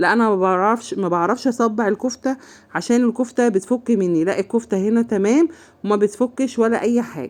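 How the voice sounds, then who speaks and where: A woman speaks with an Egyptian accent. The background is quiet. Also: fairly high pitch for a woman, ordinary pitch variation, moderate pace. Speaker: home cooking channel host. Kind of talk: cooking tutorial. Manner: casual, chatty.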